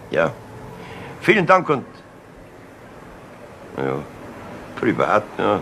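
A put-on character voice with a bright, sharp tone moves at a very slow pace through very wide pitch swings. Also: man, fairly low pitch for a man.

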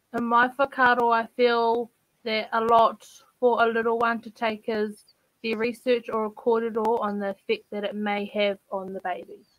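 Her monotone, flat intonation comes at a moderate pace as a woman speaks in a dry sound with no echo. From New Zealand, Taranaki; New Zealand. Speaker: youth panelist; panelist. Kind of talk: asking questions on panel. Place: home room.

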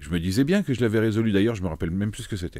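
Against a silent background in a very clean recording, a man talks in a dark, mellow tone with ordinary pitch variation. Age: 50s. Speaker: streamer. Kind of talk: casual live-stream chat while solving chess puzzles. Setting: live stream. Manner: halting, many repetitions and fillers.

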